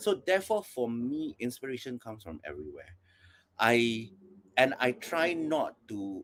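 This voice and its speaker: A man speaks at a medium pitch with lively intonation. He has a plain, everyday voice. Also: very clean recording, silent background. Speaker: performance artist. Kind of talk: panel discussion.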